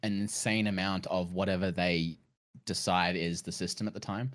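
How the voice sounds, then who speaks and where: A man with an Australian accent at a moderate pace, on a very clean recording with a silent background. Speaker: game streamer guest. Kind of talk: casual podcast chat.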